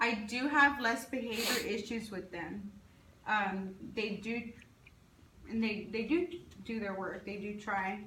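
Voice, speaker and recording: Amid noticeable background noise and audible room echo, a woman speaks fairly slowly with long, frequent pauses and ordinary pitch variation. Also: fairly high pitch for a woman. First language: Spanish. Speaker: teacher. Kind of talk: interview. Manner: halting.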